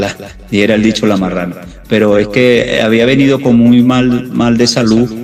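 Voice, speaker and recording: Music plays in the background as a man speaks at medium pitch. His pace is moderate and his intonation fairly even. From Venezuela. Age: 60s. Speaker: retired pro cyclist, masters racer. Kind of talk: interview.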